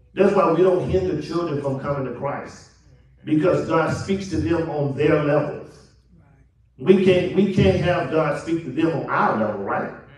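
A man with a fairly high voice speaks in an animated tone at a moderate pace. Noticeable background noise runs underneath. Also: ordinary pitch variation. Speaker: preacher. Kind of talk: sermon. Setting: church. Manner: animated, call-and-response preaching with rhetorical questions and repetition.

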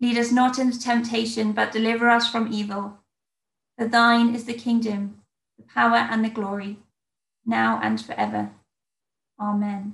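Speaking in an English accent, a woman sounds somewhat breathy at a fairly high pitch, with monotone, flat intonation and long, frequent pauses. The background is quiet, with audible room echo. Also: moderate pace. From England. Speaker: church minister. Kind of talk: sermon. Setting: video call. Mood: calm, warm, reflective. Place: home room. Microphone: webcam.

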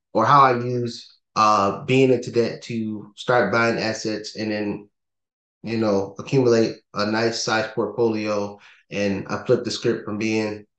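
The speech moves at a fairly slow pace with monotone, flat intonation, audible room echo and a quiet background. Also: man. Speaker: podcast co-host. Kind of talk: podcast talk explaining steps. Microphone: video call.

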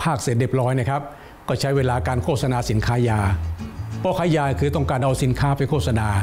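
Clear music plays in the background as a man speaks at a medium pitch with ordinary pitch variation. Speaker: outdoor cinema film dubber. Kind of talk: interview answer. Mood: warm, nostalgic. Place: home room.

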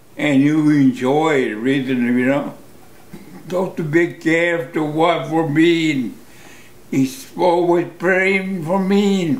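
With an American accent, a man talks at a high pitch and a very slow pace, his intonation lively, as audible room echo surrounds him. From United States. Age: 80s+. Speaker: war veteran. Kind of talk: interview answer. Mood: reflective, emotional. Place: home room.

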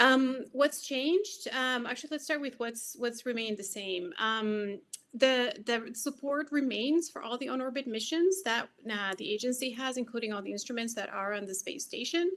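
A woman's high-pitched voice with lively intonation. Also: moderate pace. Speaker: science agency program manager. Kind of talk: conference presentation. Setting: video call.

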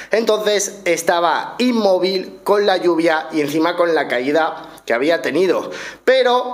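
A man's high-pitched, animated voice in a Spanish accent, at a fairly slow pace with ordinary pitch variation. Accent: Spain Spanish. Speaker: motorcycle vlogger. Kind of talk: storytelling to camera. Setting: recorded at home. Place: home room. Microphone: studio mic.

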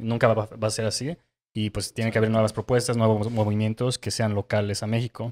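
Here a man with an unremarkable speaking voice and a medium pitch talks at a fairly quick pace. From Mexico, Querétaro; Mexico. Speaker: podcast host. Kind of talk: casual interview. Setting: on location in León. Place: shop. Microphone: handheld.

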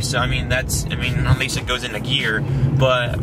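Through loud background noise, a man talks at a fairly quick pace in a dry sound with no echo. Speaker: car vlogger. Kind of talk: casual vlog chat. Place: car. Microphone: phone near.

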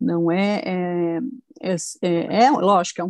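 Delivered at a very slow pace with a Brazilian accent, the speech sits over a quiet background with a dry sound and no echo. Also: woman. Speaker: therapy client. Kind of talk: testimony. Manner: halting. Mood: calm, reflective. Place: home room. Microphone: earbuds.

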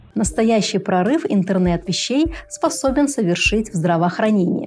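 Faint music plays in the background. A woman speaks at a moderate pace. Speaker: show host. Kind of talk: educational presenter monologue. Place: studio.

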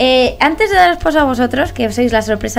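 Over faint music in the background, a woman with a high pitch talks at a fairly quick pace. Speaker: program host. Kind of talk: interview host introduction. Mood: cheerful, laughing. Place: studio. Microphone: studio mic.

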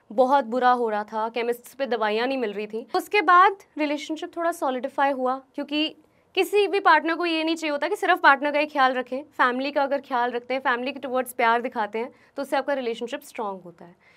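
The speaker has a bright, sharp tone and lively intonation, with big swings in loudness. The pace is moderate over a quiet background. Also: woman, high pitch for a woman. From New Delhi, India; India. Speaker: YouTuber. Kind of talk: motivational talk. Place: studio. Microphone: lapel.

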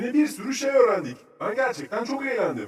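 Cartoonish character voice with a slightly husky edge, big pitch swings, and a fairly quick pace. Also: man.

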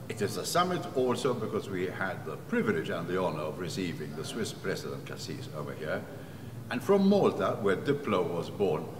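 Over noticeable background noise, a man talks at a fairly quick pace with a fairly low pitch. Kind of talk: interview statement. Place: hall.

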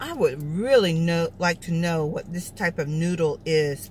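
Over light background noise and in a dry sound with no echo, a woman speaks somewhat breathily at a fairly slow pace and a fairly low pitch. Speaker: food vlogger. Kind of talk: casual mukbang review chat. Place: car. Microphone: phone near.

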